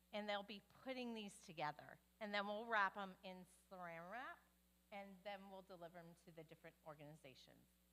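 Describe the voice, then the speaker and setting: The voice comes at a moderate pace with ordinary pitch variation, a bright, sharp tone and big swings in loudness. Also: woman, medium pitch for a woman. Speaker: church volunteer organizer. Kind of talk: church announcement.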